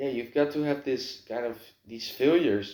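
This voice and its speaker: A man speaks in a Dutch accent at a fairly slow pace. His tone is dark and mellow. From Netherlands. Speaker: vlogger. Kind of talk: casual monologue to camera. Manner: halting, lots of filler words.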